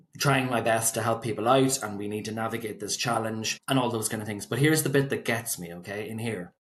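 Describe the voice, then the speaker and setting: With a Northern Irish accent, this man speaks at a medium pitch with fairly even intonation. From Northern Ireland, County Fermanagh. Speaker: solicitor. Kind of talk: podcast interview.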